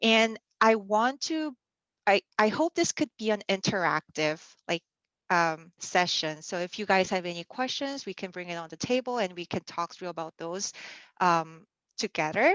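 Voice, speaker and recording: Loudness swings widely and the intonation is lively at a moderate pace, with a dry, close sound with no echo and a quiet background. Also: woman, medium pitch for a woman. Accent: Korean. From South Korea. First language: Korean. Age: 30s. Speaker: church youth mentor. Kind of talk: casual online youth session talk. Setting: video call. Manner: hesitant, many fillers.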